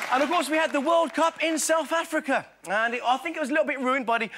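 A man talks with crowd noise in the background. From England. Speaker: impressionist. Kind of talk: stand-up comedy monologue on TV show. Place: stage. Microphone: lapel.

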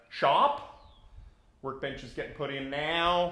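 A man talks at a fairly slow pace. Music plays in the background, and the room echo is audible. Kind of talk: casual vlog chat. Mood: upbeat, pleased. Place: workshop. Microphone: phone near.

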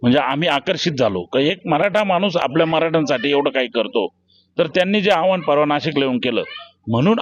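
This man has an unremarkable speaking voice pitched fairly high. His intonation is lively. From Nashik district, Maharashtra. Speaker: aspiring election candidate. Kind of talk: street interview.

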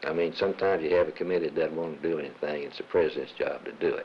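This man has a Southern US accent. He talks at a very fast pace. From Arkansas. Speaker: retired businessman, former chamber of commerce president. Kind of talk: interview.

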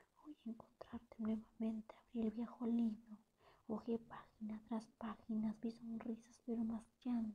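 A woman whispers at a very slow pace. Her voice is somewhat breathy. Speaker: poet. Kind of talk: ASMR poetry reading. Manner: whispered.

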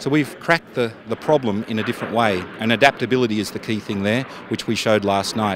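Speaking with an Australian accent, a man uses a fairly low pitch and fairly even intonation at a fairly quick pace. The sound is dry with no echo, though there is noticeable background noise. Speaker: defence industry executive. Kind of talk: trade show interview. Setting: exhibition stand at trade show. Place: street. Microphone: handheld.

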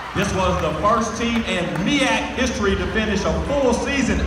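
The speech moves at a moderate pace, with audible room echo and loud background noise. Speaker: stadium announcer. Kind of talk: PA announcement. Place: stadium.

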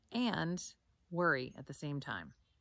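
Calm and soothing in tone, the voice moves at a fairly slow pace. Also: woman, dry sound with no echo. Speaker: meditation teacher. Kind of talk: guided meditation, calm instructions. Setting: video recording outdoors. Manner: slow, soothing, gentle; calm and measured, with long pauses. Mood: calm, soothing. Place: forest. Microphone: phone near.

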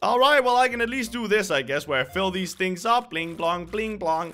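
A bright, sharp tone comes through in this raised, projected voice. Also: man, lively intonation, moderate pace. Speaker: gaming youtuber. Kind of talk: casual gameplay commentary.

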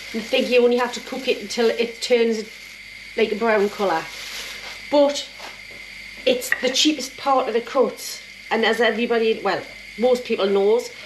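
Over noticeable background noise, a woman with a high pitch speaks at a moderate pace with fairly even intonation and long, frequent pauses. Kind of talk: casual cooking tutorial. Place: kitchen. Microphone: phone near.

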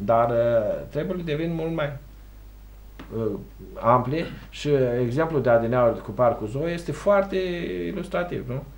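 A man speaks with lively intonation. He leaves long, frequent pauses. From Romania. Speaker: local councillor. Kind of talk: TV interview. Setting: TV studio. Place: studio.

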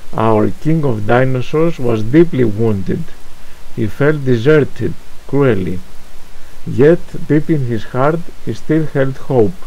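A very slow voice with a Greek accent, lively intonation and long, frequent pauses, over noticeable background noise. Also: man, medium pitch for a man. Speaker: poet. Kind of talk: poetry reading.

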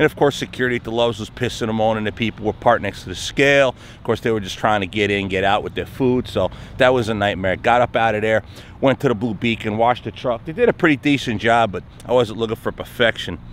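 The speech comes at a very fast pace with fairly even intonation. The sound is dry with no echo, over light background noise. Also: man. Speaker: truck driver vlogger. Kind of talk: casual vlog chat. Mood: mildly exasperated storytelling. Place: street. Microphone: phone near.

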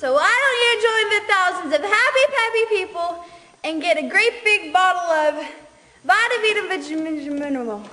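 The voice is raised and projected. Noticeable background noise runs underneath. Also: woman. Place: stage. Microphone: camera far.

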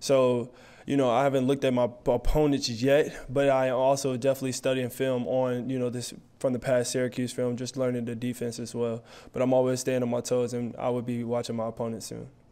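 With an American accent, the speaker talks at a fairly quick pace in a dark, mellow tone with monotone, flat intonation. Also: man, medium pitch for a man. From Chicago, US Midwest. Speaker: college football player. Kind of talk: press conference. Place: hall. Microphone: podium.

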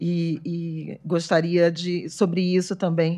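Against a quiet background, a woman speaks at a very slow pace. Her pitch is fairly low and her intonation monotone and flat. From Brazil. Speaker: journalist. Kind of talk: panel talk. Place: hall. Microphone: podium.

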